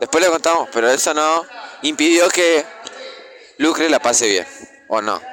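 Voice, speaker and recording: A man's high-pitched voice with very wide pitch swings, very even loudness and long, frequent pauses, over noticeable background noise. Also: moderate pace. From Argentina. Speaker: podcast co-host. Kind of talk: casual chat.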